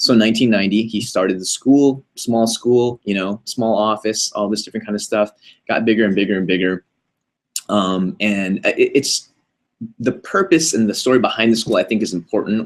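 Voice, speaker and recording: At a fairly quick pace, a man with a medium pitch and ordinary pitch variation speaks in an ordinary speaking voice. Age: 30s. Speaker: college co-owner and marketing chief. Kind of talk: casual interview. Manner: many fillers and restarts.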